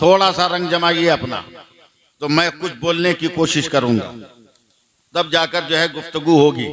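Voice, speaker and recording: Here a man with a high pitch speaks using fairly even intonation. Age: 60s. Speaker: Islamic preacher. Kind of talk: religious speech to a gathering. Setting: mosque gathering with audience.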